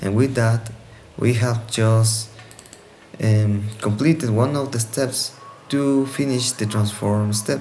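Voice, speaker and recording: A man with a non-native accent talks at a very slow pace with ordinary pitch variation. Noticeable background noise is audible. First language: Spanish. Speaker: student. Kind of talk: tutorial. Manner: halting.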